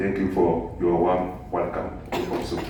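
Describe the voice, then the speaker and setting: Noticeable background noise and audible room echo surround the voice of a man. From Togo, West Africa. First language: French. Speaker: physics professor. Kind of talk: lecture. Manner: halting, many fillers.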